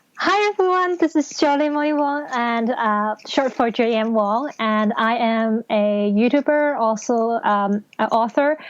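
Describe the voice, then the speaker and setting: With a Cantonese accent, a woman speaks at a fairly slow pace and fairly high pitch, with lively intonation, very even loudness and hardly any pauses. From Hong Kong. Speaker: novelist and English teacher. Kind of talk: casual interview.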